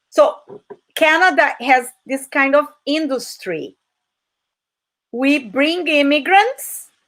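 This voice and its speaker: Ordinary pitch variation in a woman's high voice. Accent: Portuguese. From Brazil. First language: Portuguese. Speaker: English teacher. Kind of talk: online talk. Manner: animated.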